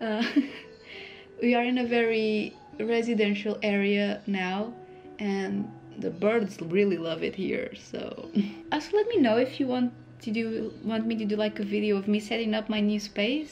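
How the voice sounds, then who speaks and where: Over music in the background, a woman talks at a fairly high pitch with fairly even intonation. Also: moderate pace. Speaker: illustrator. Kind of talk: art process voice-over. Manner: casual, chatty.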